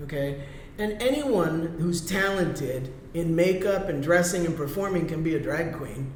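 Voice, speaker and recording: A man at a high pitch with ordinary pitch variation and a moderate pace, amid noticeable background noise and audible room echo. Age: 60s. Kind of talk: interview.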